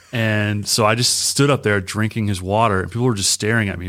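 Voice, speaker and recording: An American accent in an unremarkable speaking voice, intonation fairly even. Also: man. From Michigan. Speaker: youth pastor. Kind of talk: casual interview.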